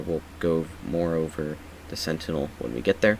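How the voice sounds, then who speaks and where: A soft-spoken man with a very deep, low pitch at a moderate pace, over noticeable background noise. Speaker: gaming YouTuber. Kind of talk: game build tutorial. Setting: at home late at night. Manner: quiet, speaking softly; casual with many fillers.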